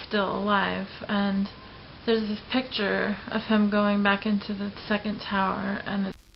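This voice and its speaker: Against noticeable background noise, a woman speaks at a very slow pace in a monotone, flat way. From Los Angeles. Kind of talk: personal vlog talk to camera.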